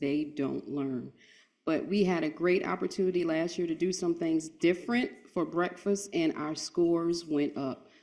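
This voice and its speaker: Against a quiet background, a woman with an unremarkable speaking voice and a fairly low pitch talks at a fairly slow pace with ordinary pitch variation. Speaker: school nutrition director. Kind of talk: conference speech.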